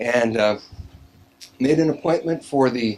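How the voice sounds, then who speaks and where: A man's voice sits at a medium pitch and carries lively intonation. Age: 60s. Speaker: LASIK patient giving testimonial. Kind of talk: testimony. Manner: halting.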